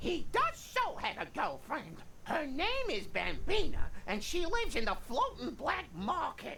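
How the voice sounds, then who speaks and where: Over clear background noise, a woman performs a put-on character voice at an extremely high pitch, with very wide pitch swings and a moderate pace. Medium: video game. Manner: doting, muddled.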